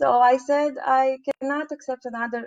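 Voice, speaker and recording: A woman with a Romanian accent, fairly slow, with ordinary pitch variation. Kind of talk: interview testimony.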